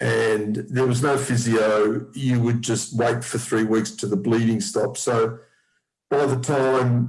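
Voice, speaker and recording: A man with an Australian accent speaks at a very slow pace, his medium-pitched voice keeping very even loudness and fairly even intonation. Music plays in the background. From Australia, Melbourne. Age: 60s. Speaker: person with haemophilia. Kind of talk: personal testimony. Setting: zoom video call.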